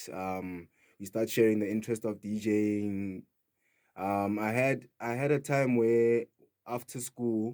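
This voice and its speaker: In a Sotho accent, a man with a dark, mellow tone speaks with fairly even intonation and long, frequent pauses. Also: medium pitch for a man, fairly slow pace. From South Africa, Free State (Kroonstad). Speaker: DJ and house music producer. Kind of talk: radio interview. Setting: radio studio.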